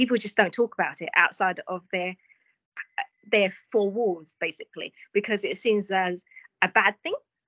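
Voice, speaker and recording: In an East London accent, this speaker keeps a moderate pace and fairly even intonation, with long, frequent pauses. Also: woman, medium pitch for a woman. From East London, England (born in Vietnam). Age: 40s. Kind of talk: casual interview.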